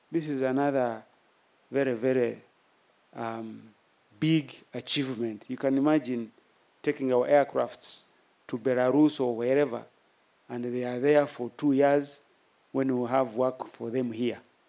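This man talks at a fairly slow pace, with long, frequent pauses. His intonation is monotone and flat, and his tone is dark and mellow. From Uganda. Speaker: military chief. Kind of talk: formal speech. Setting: outdoor ceremony with audience. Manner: formal; halting. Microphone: podium.

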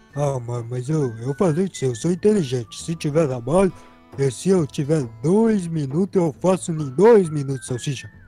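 Over faint music in the background, a man puts on a cartoonish character voice with a fairly high pitch. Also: moderate pace. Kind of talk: comic cartoon voice acting. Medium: machinima.

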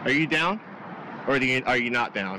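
A man's voice in a dry sound with no echo, with noticeable background noise. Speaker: vlogger. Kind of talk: casual vlog chat.

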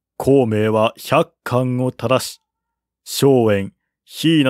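Speech comes at a slow pace in a very clean recording with a silent background and a dry, close sound with no echo. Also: man.

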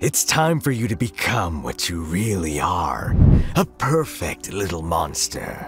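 A man's put-on character voice, low-pitched and fairly bright in tone, with big pitch swings and a slow pace over faint music in the background

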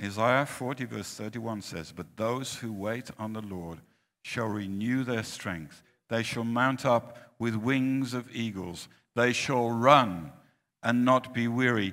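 Speaking at a very slow pace, a man keeps a medium pitch with ordinary pitch variation. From Finland. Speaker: preacher. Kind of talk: sermon. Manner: short phrases with pauses for interpreter. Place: hall.

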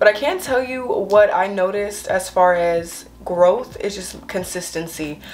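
Light background noise sits behind a woman speaking at a medium pitch. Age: young. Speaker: lifestyle and hygiene YouTuber. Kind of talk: casual talk to camera. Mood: warm, encouraging. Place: home room. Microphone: camera far.

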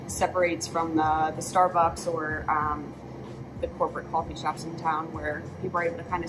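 Loud background noise fills the clip as the speaker goes at a fairly quick pace. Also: woman. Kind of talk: interview answer. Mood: relaxed, friendly. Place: cafe. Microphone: camera far.

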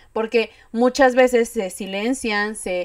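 A woman speaks very slowly at a fairly high pitch, her intonation fairly even. The sound is dry with no echo, and the background is quiet. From Querétaro, Mexico; Mexico. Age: 20s. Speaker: eyelash technician and content creator; podcast guest. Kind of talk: casual chat. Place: home room.

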